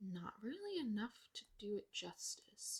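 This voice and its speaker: Soft-spoken and somewhat breathy, a woman talks in a relaxed tone. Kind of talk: ASMR soft talking / rambling to camera. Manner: soft-spoken, quiet, relaxed.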